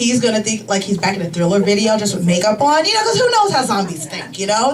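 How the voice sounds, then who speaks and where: A woman with an American accent speaks with very wide pitch swings. Audible room echo and noticeable background noise surround her. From US Midwest, Chicago. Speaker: comedian. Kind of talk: stand-up. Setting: stage with audience. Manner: casual, filler-heavy.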